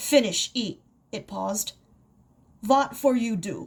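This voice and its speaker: A gruff, put-on character voice delivered at a fairly slow pace. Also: woman, fairly high pitch for a woman. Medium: read story. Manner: broken clipped speech, gruff.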